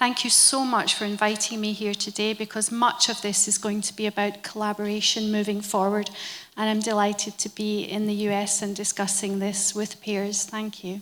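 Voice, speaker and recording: The speaker talks in a monotone, flat intonation with a Scottish accent over noticeable background noise. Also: woman, medium pitch for a woman, moderate pace. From Scotland. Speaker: member of parliament, panelist. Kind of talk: panel discussion.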